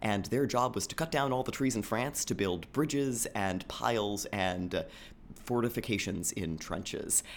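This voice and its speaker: In a very clean recording with a silent background, a man with an unremarkable speaking voice talks at medium pitch with ordinary pitch variation. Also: moderate pace. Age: 30s. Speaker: professor and novelist. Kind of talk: radio interview.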